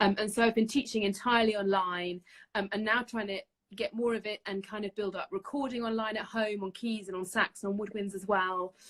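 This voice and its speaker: A woman with a London accent, medium in pitch, fairly quick, with ordinary pitch variation and a dry, close sound with no echo. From North London, England. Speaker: saxophonist and music teacher. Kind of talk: casual interview. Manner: hesitant, many fillers.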